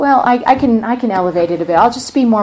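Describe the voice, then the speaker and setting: Soft-spoken and fairly quick, the speaker uses lively intonation. Noticeable background noise runs underneath. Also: woman. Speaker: meditation teacher. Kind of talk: guided meditation and dharma talk. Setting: retreat center hall with audience.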